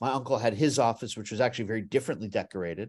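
A man with an American accent, ordinary pitch variation and a quiet background. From US, Beverly Hills, California. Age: 50s. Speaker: playwright and songwriter. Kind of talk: interview storytelling.

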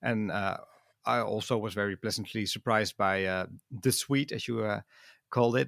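A man with a Dutch accent, at fairly low pitch and moderate pace, with fairly even intonation and long, frequent pauses, in a dry, close sound with no echo and a very clean recording with a silent background. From Netherlands. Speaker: podcaster and music fan. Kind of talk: casual chat. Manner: halting, many fillers.

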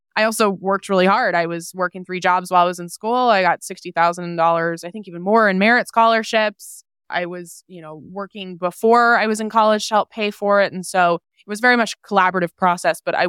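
With an unremarkable speaking voice at a medium pitch and fairly even intonation, a woman is heard in a very clean recording with a silent background and a dry, close sound with no echo. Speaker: personal finance entrepreneur and author. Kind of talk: interview.

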